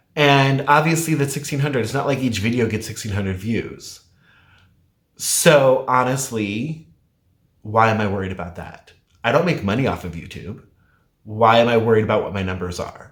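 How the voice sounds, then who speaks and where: A man with a somewhat breathy, medium-pitched voice speaks at a moderate pace, with ordinary pitch variation and big swings in loudness. Long, frequent pauses break up his speech, and room echo is audible. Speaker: weight loss vlogger. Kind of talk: casual vlog talk.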